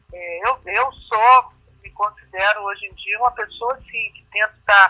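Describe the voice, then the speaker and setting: A woman speaks at a fairly high pitch with ordinary pitch variation. The sound is dry and close, with no echo. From Brazil. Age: 50s. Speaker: actress and comedian. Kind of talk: interview. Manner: halting.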